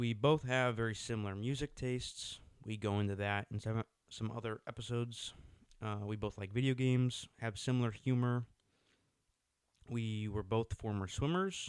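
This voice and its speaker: A plain, everyday voice from a man at medium pitch, with fairly even intonation and a moderate pace. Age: young. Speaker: podcast co-host, college student. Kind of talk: casual solo podcast talk.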